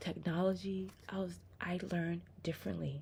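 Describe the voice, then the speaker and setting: The woman speaking is soft-spoken. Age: 30s. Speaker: religious vlogger. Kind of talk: testimony. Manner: halting.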